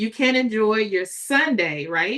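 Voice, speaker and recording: A woman's fairly high voice with lively intonation and an animated tone. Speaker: livestreamer and online business coach. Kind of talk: live stream chat with viewers. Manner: casual and animated.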